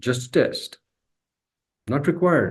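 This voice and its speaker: A man's fairly high-pitched voice. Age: 60s. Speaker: spiritual teacher. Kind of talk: lecture. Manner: repetitive emphatic phrasing.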